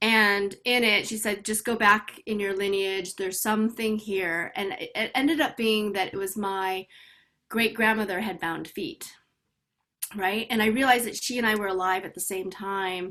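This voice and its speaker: In an American accent, a woman talks at a moderate pace with a medium pitch and a bright, sharp tone. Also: fairly even intonation, very clean recording, silent background. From US Midwest. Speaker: personal transformation coach. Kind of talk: interview conversation. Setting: podcast.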